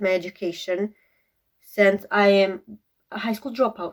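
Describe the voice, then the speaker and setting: A woman speaks with a Croatian accent. Her intonation stays fairly even. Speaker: beauty vlogger. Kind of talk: casual get-ready-with-me vlog.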